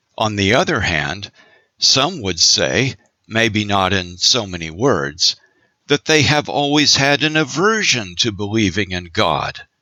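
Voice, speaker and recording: Speaking at a very slow pace, a man has a bright, sharp tone with vocal fry. His pitch swings very widely. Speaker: audiobook narrator, voice actor. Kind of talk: audiobook narration.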